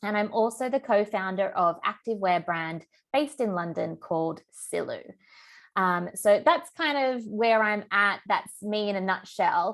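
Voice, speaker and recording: Speaking at a fairly slow pace with lively intonation, a woman talks in an Australian accent against a quiet background. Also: medium pitch for a woman. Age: 30s. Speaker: business coach and therapist. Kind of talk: online masterclass. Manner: casual, filler-heavy.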